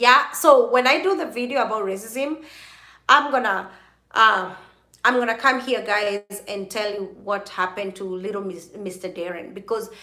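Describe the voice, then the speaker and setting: A woman's animated voice at medium pitch, moderate pace and ordinary pitch variation, with audible room echo. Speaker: YouTuber live streaming to viewers. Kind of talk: casual live-stream chat. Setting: live video stream at midnight. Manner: animated, chatty.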